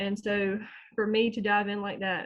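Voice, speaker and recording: A woman speaks with a Southern US accent at a moderate pace. Her pitch is fairly high. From US South, North Carolina small town. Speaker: small online business owner, homeschooling mom. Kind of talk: interview testimony.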